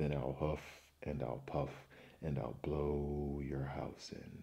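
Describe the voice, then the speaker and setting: A man puts on a growling character voice, very deep and low in pitch. He keeps a fairly slow pace and a flat, monotone intonation. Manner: snarling, threatening.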